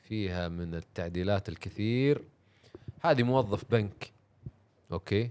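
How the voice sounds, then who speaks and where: A man talks at a fairly slow pace with long, frequent pauses. His pitch is fairly low. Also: ordinary pitch variation. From Saudi Arabia. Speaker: car content creator and racing driver. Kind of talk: casual podcast chat. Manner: animated.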